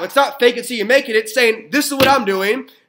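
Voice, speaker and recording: The speaker uses a raised, projected voice with an American accent. The tone is animated, bright and sharp. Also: man. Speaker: network marketer. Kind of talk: motivational talk. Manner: fast.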